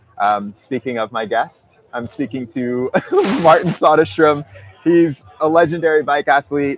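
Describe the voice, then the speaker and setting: Music plays in the background as a man speaks at a fairly slow pace with ordinary pitch variation, in a dry sound with no echo. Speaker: podcast host. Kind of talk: show intro and interview questions. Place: street. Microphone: lapel.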